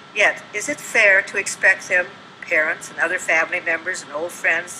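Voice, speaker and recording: A woman speaks at a moderate pace and fairly low pitch with ordinary pitch variation and big swings in loudness. Noticeable background noise is heard. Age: 80s+. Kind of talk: public comment speech at city council. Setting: council meeting room.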